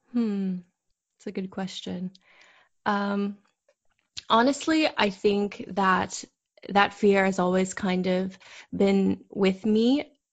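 Over a quiet background, a somewhat breathy woman at medium pitch talks at a very slow pace with ordinary pitch variation and long, frequent pauses. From moved around as military kid. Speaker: chef. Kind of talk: interview. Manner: halting.

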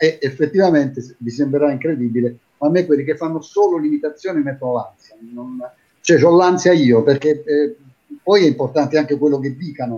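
A man's fairly high voice, dark and mellow in tone, with ordinary pitch variation and a fairly quick pace. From Taranto, Apulia, southern Italy. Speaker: TV and radio presenter, impressionist. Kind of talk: casual chat.

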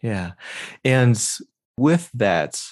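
A man speaks against a quiet background. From Southern California. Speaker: podcast host. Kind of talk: interview conversation.

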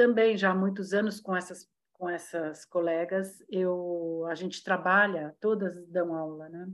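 With hardly any pauses, a woman talks at a fairly slow pace in an unremarkable speaking voice, her medium pitch holding fairly even intonation. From São Paulo, Brazil. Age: 60s. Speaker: dancer and ballet teacher. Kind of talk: casual chat.

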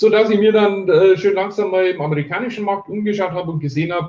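A man speaks at a very fast pace. His pitch shows ordinary variation. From Bavaria, near Ingolstadt. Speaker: online marketing entrepreneur. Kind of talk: interview. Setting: live video stream.

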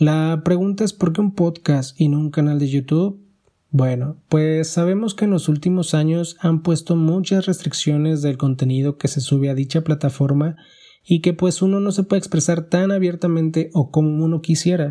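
A man's fairly high voice, dark and mellow in tone, with fairly even intonation, a moderate pace and very even loudness. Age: 20s. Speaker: podcast host, primary school teacher. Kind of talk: solo podcast monologue.

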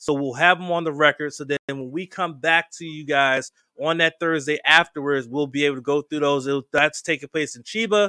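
The delivery is fairly quick, with an animated, bright, sharp tone and hardly any pauses. The sound is dry and close with no echo, on a very clean recording with a silent background. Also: man, fairly high pitch for a man. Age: 40s. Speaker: podcast host. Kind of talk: casual chat.

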